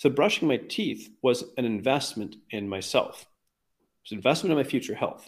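A man with a Canadian accent and a plain, everyday voice talks at a fairly quick pace with lively intonation. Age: 40s. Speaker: weight loss coach. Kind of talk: interview conversation.

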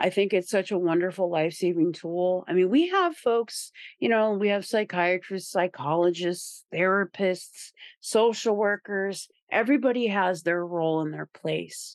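Against a quiet background, a woman with an American accent and an unremarkable speaking voice talks at a moderate pace in a medium pitch with ordinary pitch variation. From Indiana, rural small town. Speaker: person in recovery, peer recovery worker. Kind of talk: recovery testimony interview.

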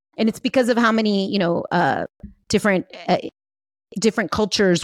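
A woman's normal speaking voice with an American accent, at a fairly quick pace, dry and close with no echo, on a very clean recording with a silent background. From US, San Fernando Valley, Los Angeles. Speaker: life and business coach. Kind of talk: interview.

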